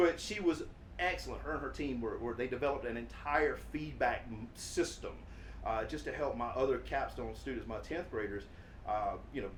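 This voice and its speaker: Noticeable background noise and audible room echo around a man talking at a moderate pace. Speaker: teacher, interview host. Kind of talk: casual interview. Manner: loud.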